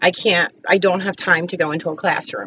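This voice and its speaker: A woman with an American accent, a bright, sharp tone and ordinary pitch variation. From New Jersey. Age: 40s. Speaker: school bus driver and student. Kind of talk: personal intro speech. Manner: casual, somewhat halting.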